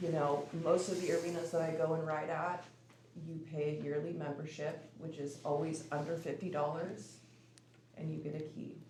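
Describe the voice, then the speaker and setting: There is audible room echo and noticeable background noise as a woman speaks at a moderate pace in a monotone, flat intonation. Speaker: public commenter at city meeting. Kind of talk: public comment. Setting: city commission meeting. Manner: hesitant, many fillers.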